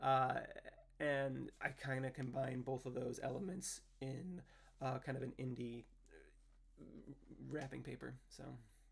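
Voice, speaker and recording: Somewhat breathy, a man speaks at a medium pitch with fairly even intonation. His pace is fairly slow, with long, frequent pauses. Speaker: indie musician livestreaming. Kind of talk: casual livestream chat with viewers. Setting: home livestream. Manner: clear enunciation with many fillers.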